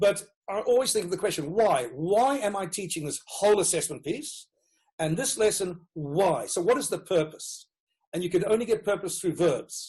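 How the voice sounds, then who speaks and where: A man with a Rhodesian accent, high pitch, lively intonation and a moderate pace. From Rhodesia (Zimbabwe). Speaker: education consultant, former teacher. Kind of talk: interview.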